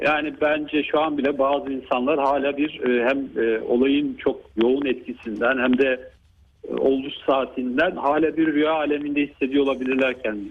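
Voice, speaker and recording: The intonation is monotone and flat, with very even loudness. The pace is moderate. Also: man, fairly high pitch for a man. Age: 50s. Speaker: neurologist. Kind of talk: radio interview. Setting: phone call. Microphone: phone line.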